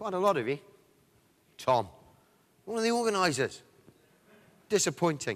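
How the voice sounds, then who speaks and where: Speaking with an English accent, a man uses a high pitch and very wide pitch swings in an animated tone. He leaves long, frequent pauses. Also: moderate pace. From England. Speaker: sales director, conference speaker. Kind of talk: conference presentation. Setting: stage with audience.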